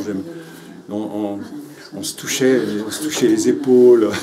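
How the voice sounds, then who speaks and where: Noticeable background noise and audible room echo surround a man whose medium-pitched voice keeps a fairly even intonation. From Paris, Belleville. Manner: halting, with many repetitions.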